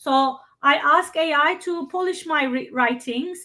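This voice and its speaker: A woman with a non-native accent speaks in a raised, projected, high-pitched voice with a bright, sharp tone and ordinary pitch variation. The recording is very clean, with a silent background. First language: not English. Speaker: workshop presenter. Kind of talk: Q&A discussion. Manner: halting.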